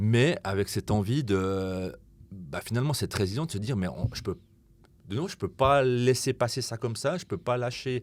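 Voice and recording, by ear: A man talks at a moderate pace in a fairly low voice, with ordinary pitch variation.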